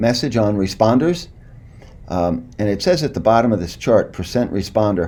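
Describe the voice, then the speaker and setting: Audible room echo surrounds a man's dark, mellow voice of medium pitch. He talks fairly quickly with lively intonation. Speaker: clinical psychologist. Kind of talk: lecture. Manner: fast.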